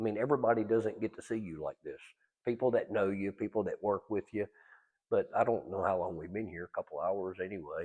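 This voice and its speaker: A man with a North Carolina accent speaks at a fairly quick pace. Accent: North Carolina Southern. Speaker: interview host. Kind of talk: interview.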